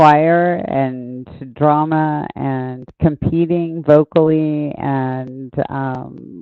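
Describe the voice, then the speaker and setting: A soft-spoken woman with an American accent talks at a very slow pace in a very deep, low voice, her intonation fairly even. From Indiana, US Midwest. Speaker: podcast guest sharing life story. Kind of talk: interview testimony. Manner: halting.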